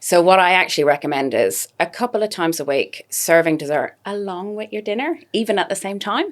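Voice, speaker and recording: In an Irish accent, a woman at medium pitch talks fairly quickly with lively intonation and hardly any pauses. The recording is very clean, with a silent background. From Ireland. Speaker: dietitian. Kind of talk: podcast interview.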